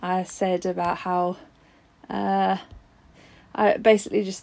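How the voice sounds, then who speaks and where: A woman with a London accent talks at a fairly slow pace. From Southeast London. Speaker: fan. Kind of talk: recorded testimony.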